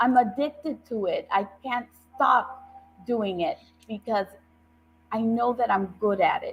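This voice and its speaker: A woman's fairly high voice in an American accent, at a fairly slow pace with long, frequent pauses and ordinary pitch variation. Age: 60s. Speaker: judicial candidate, attorney and professor. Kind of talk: interview on a talk show. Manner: earnest, emphatic.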